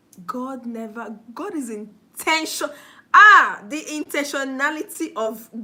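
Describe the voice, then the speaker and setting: In a raised, projected voice, a woman speaks with a high pitch, an animated tone and lively intonation. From Nigeria. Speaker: motivational speaker. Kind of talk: motivational talk on a livestream. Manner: halting.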